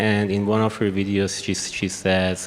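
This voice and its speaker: Through noticeable background noise, a man with a strong Persian accent speaks slowly at a fairly low pitch, his intonation monotone and flat. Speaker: economist panelist. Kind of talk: conference panel talk. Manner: halting, many fillers.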